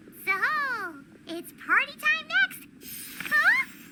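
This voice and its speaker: This put-on character voice is squeaky and bubbly, pitched extremely high with very wide pitch swings. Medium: video game. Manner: bubbly, excitable.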